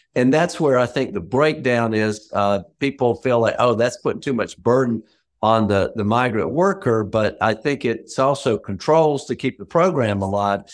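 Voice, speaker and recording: Hardly pausing, a man of medium pitch speaks at a moderate pace with lively intonation. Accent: Southern US. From rural Georgia, US South. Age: middle-aged. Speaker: former congressman, lobbyist. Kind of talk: panel discussion. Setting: call.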